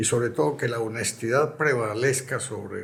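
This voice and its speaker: A somewhat breathy man's voice at a medium pitch, moving at a moderate pace with ordinary pitch variation. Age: 80s+. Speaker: retired football club president and urologist. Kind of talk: interview. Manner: reflective.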